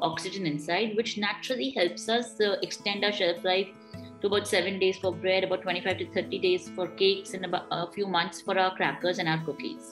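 With clear music in the background, a woman speaks at a fairly quick pace and with ordinary pitch variation. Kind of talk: interview answer. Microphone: video call.

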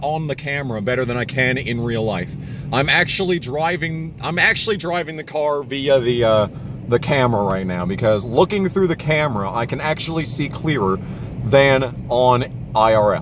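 A man speaks with lively intonation. The sound is dry with no echo, and there is noticeable background noise. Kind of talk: casual vlog chat. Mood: tense, joking. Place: car. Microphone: phone near.

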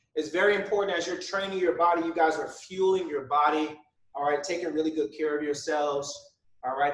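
Ordinary pitch variation in a man's speech, with audible room echo. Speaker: fitness instructor. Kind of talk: workout instruction with casual chat. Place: home room. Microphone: camera far.

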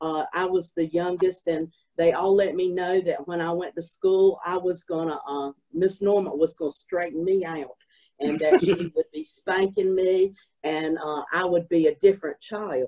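With a coastal North Carolina accent, a woman speaks at a moderate pace in a dark, mellow, fairly low voice with fairly even intonation over a quiet background. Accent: coastal North Carolina Southern. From Southport, North Carolina. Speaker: oral history panelist. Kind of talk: oral history panel talk. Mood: animated, humorous reminiscing. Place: home room. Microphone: video call.

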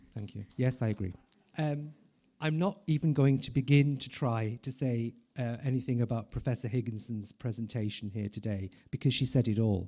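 A man's somewhat breathy, dark and mellow voice over a quiet background. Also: ordinary pitch variation. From Ireland. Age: 50s. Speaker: palliative care professor. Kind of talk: conference talk. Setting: stage with audience. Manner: slow. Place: hall. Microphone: podium.

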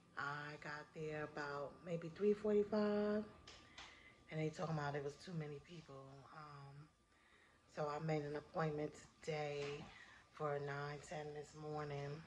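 A woman with an American accent talks very slowly in a very deep, low, somewhat breathy voice, leaving long, frequent pauses. Her intonation stays fairly even, with light background noise behind her. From US North. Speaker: vlogger and author. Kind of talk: casual vlog. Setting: in a car. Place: home room. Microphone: phone near.

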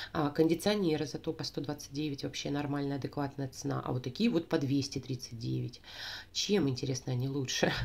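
A woman speaks at a moderate pace with vocal fry. Her pitch is very deep and low, with ordinary variation. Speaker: beauty vlogger and sales consultant. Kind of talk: product review. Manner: chatty, informal.

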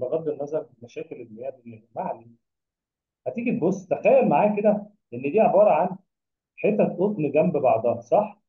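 In an Egyptian accent, a man speaks at a moderate pace with a high pitch over a quiet background. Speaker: biology tutor. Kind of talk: lecture. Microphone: webcam.

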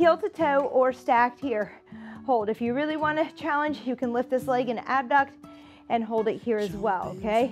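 The pace is moderate. Faint music can be heard in the background. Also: woman. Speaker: fitness instructor. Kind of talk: workout instruction. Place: studio.

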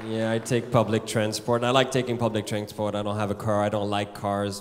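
A man's intonation stays monotone and flat amid light background noise. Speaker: stand-up comedian. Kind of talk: stand-up comedy routine. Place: stage. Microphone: handheld.

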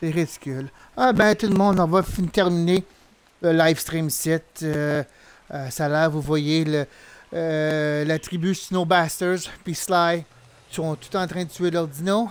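At a very slow pace and with long, frequent pauses, a man speaks with a high pitch. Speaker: gaming streamer. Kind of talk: live gameplay commentary. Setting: live stream. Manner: animated.

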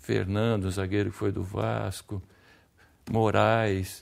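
A man speaks very slowly in a very deep, low voice with lively intonation over a quiet background. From interior of São Paulo state, Brazil. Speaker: former football player. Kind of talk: interview. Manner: halting, repeats words. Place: studio. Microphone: lapel.

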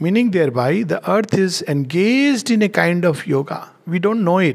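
Speaking at a moderate pace, a man delivers his words. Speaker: spiritual teacher. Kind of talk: lecture. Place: home room. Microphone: headset.

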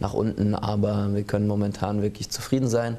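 A man's fairly low, monotone voice with flat intonation at a fairly quick pace. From Rhine-Main region, Germany; Germany. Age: 30s. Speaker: ice hockey sporting director and assistant coach; assistant coach. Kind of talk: studio interview. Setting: TV studio. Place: studio. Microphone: lapel.

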